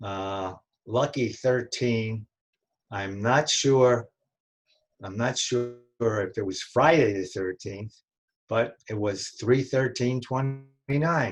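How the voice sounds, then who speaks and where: A man in a New York accent speaks very slowly with long, frequent pauses and ordinary pitch variation. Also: medium pitch for a man. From New York City (Brooklyn, Bronx). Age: 90s. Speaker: family elder interviewee. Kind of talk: oral history interview. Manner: halting, many fillers and restarts.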